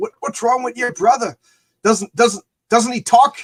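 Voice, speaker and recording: A man puts on a gruff character voice with a strong Irish accent at an extremely high pitch, speaking at a moderate pace in a dry, close sound with no echo. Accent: thick Irish brogue. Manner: surly, gruff.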